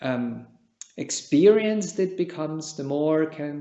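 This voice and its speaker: Fairly high-pitched for a man, this speaker talks at a fairly slow pace with a Czech accent. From Switzerland. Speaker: meditation teacher, Buddhist monk. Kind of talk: dharma talk. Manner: calm, measured.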